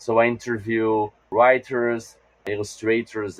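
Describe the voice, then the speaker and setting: Recorded dry and close with no echo, a man speaks at medium pitch with a Portuguese accent. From Brazil. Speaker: game designer and podcaster. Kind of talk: interview.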